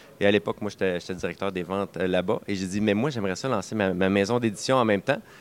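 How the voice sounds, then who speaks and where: Speaking very fast with a Quebec accent, a man talks at a fairly low pitch with fairly even intonation. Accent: Québécois French. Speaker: board game publisher. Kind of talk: interview. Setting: game festival. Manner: halting, many repeated words.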